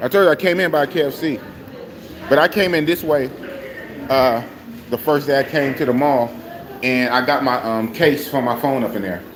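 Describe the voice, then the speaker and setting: With an American accent, a man speaks at a moderate pace and fairly high pitch, with ordinary pitch variation, over noticeable background noise. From Oakland, California, US. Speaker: live streamer. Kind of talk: casual live stream chat.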